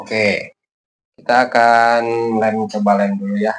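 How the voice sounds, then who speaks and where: This is a man talking. He speaks with a Sundanese accent. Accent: Sundanese-accented Indonesian. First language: Sundanese (speaking Indonesian). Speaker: kite-making YouTuber. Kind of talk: tutorial. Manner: halting, many filler pauses.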